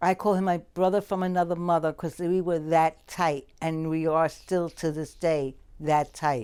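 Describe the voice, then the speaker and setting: In a very clean recording with a silent background, a woman speaks with an American accent in a dark, mellow tone at a fairly low pitch. Her intonation is fairly even, and she keeps a moderate pace with hardly any pauses. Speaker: childhood friend. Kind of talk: documentary interview.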